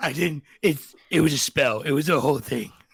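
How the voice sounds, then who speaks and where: A man does a put-on character voice at a fairly high pitch and a moderate pace. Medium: actual play. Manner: gruff, suspicious, prickly.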